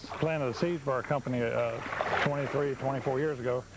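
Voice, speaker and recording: A man talks at a very fast pace in a medium pitch, his loudness very even. Noticeable background noise runs behind him. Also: fairly even intonation. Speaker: pool company co-owner. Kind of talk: interview answer.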